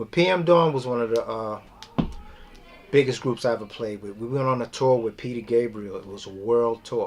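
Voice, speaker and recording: A man speaks with a New York accent at a moderate pace. Noticeable background noise sits behind him. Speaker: drummer. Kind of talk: oral history interview.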